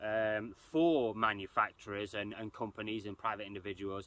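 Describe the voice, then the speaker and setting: A man with an English accent. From England. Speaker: RC hobby youtuber. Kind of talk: casual commentary video. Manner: hesitant, many fillers.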